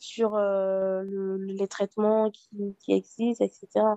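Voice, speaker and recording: A woman with a medium-pitched, dark and mellow voice is heard in a dry, close recording with no echo. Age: 30s. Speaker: HIV activist. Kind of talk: personal testimony interview.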